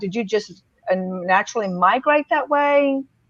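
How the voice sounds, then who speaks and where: This speaker has a Deep South accent and a fairly slow pace. The pitch swings very widely. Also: woman. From Mississippi. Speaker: public speaker. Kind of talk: casual chat. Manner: halting.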